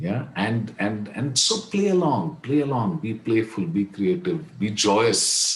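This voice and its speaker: Against noticeable background noise, a man with an Indian accent speaks at a very slow pace with hardly any pauses, his medium pitch swinging very widely. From India, Kashmir. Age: 70s. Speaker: leadership coach. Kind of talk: podcast interview.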